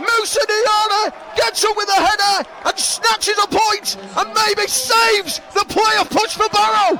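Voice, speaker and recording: Over noticeable background noise, a man sounds excited in a raised, projected voice at an extremely high pitch, his loudness very even. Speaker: football commentator. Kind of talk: live football commentary. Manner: rapid, excited, fast play-by-play; gets dramatic at key moments.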